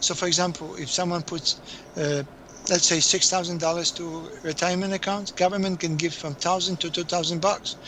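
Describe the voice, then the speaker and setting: A man with a high pitch speaks at a fairly quick pace in a monotone, flat way over noticeable background noise. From Poland. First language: Polish. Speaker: accountant. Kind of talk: interview. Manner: halting.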